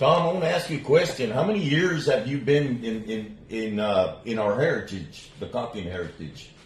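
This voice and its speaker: A man speaks at a medium pitch with very wide pitch swings and hardly any pauses. Noticeable background noise is present. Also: moderate pace. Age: 60s. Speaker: interviewer. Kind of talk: interview.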